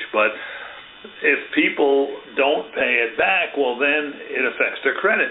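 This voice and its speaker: Against noticeable background noise, a man with an American accent talks at a fairly slow pace, with long, frequent pauses and very even loudness. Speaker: real estate agent hosting interview. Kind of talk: casual interview chat.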